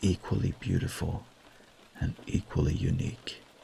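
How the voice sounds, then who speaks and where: Against noticeable background noise, a man speaks in a soothing tone at a fairly slow pace. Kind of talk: bedtime story reading. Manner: soothing, soft-spoken.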